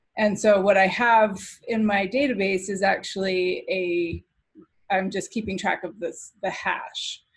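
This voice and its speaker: A woman with a medium pitch speaks in a somewhat breathy voice with fairly even intonation. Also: fairly slow pace. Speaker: software developer. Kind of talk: product demo presentation. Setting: video call. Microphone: video call.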